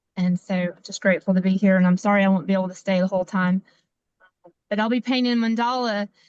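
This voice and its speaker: Using a strong Appalachian accent, a woman speaks at medium pitch in a monotone, flat intonation, with a dry, close sound and no echo. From US South. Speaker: community member. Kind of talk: self-introduction on a community call.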